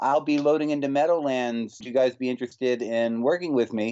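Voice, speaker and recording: Ordinary pitch variation comes through as a man speaks at a moderate pace. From North Carolina, Winston-Salem. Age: 40s. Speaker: juggler and circus performer. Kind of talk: interview conversation. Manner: some hesitations and false starts.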